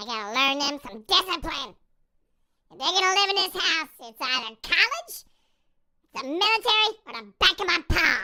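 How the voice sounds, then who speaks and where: A put-on character voice at an extremely high pitch moves at a moderate pace, broken by long, frequent pauses. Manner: scolding, tough.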